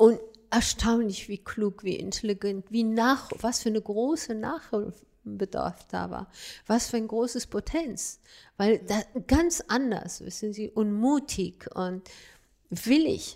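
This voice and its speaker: A very slow voice with ordinary pitch variation on a very clean recording with a silent background. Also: woman, fairly high pitch for a woman. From Afghanistan, Kabul. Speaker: fashion designer and women's rights activist. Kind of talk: interview. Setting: studio. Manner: halting.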